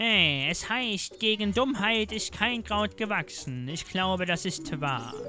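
A put-on character voice moves at a fairly slow pace with hardly any pauses while clear music plays in the background. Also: man, high pitch for a man. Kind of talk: comic game-text reading. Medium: solo performance. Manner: scolding, brusque.

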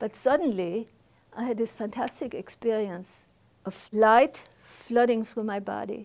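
Fairly even intonation at a moderate pace, in a German accent. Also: woman. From Germany. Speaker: Holocaust survivor. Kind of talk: testimony. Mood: reflective, earnest. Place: studio. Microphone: lapel.

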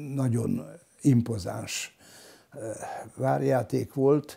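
A man talks in a dark, mellow tone. His pitch variation is ordinary, and the background is quiet. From Hungary, Solymár; Hungary. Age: 80s+. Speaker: local historian; interviewee. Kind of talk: interview testimony. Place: home room. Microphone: lapel.

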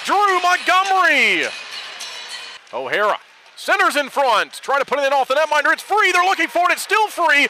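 A raised, projected voice at very even loudness, dry with no echo, over light background noise. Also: man, extremely high pitch for a man. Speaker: hockey play-by-play announcer. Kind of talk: live sports commentary. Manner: fast, animated play-by-play delivery; clipped, urgent staccato. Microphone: headset.

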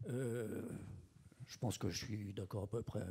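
A man's somewhat breathy, fairly low-pitched voice with fairly even intonation, over a quiet background. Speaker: audience member asking questions. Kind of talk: Q&A question. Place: hall.

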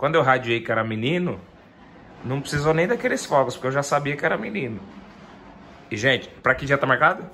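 A man's lively intonation at a very fast pace, with light background noise. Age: 20s. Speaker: YouTuber and funk music producer; YouTuber. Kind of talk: casual vlog chat. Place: home room. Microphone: phone near.

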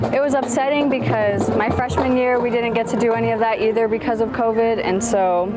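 Fairly quick speech from a woman with ordinary pitch variation, music in the background. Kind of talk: interview answer. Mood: proud, excited. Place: street. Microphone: lapel.

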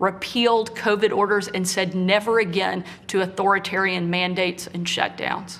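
Fairly even intonation from a woman, at a moderate pace. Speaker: politician giving televised response. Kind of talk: formal political speech. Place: home room.

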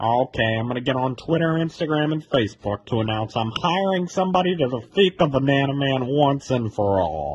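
A man puts on a rumbling character voice at a medium pitch. He moves at a fairly quick pace with lively intonation. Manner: angry, grumbling.

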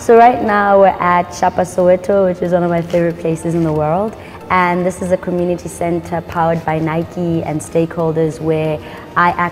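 Faint music plays in the background of speech at a moderate pace with fairly even intonation. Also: woman. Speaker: yoga teacher. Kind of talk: interview answer. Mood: warm, calm. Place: gym.

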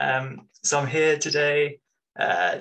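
The speaker is a man. He has a bright, sharp tone. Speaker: presenter. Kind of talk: conference talk. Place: home room.

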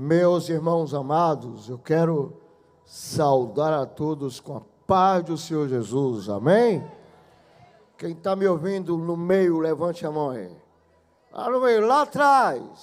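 Speaking very slowly with long, frequent pauses, a man uses a fairly high pitch and lively intonation. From Pernambuco, Brazil. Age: 60s. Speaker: gospel singer; preacher. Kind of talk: stage address to congregation. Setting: church. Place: stage. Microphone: handheld.

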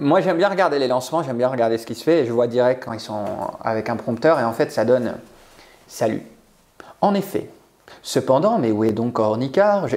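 Talking at a fairly quick pace, a man uses lively intonation broken by long, frequent pauses. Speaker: public speaking coach. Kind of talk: interview, coaching advice. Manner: animated. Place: home room. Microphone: lapel.

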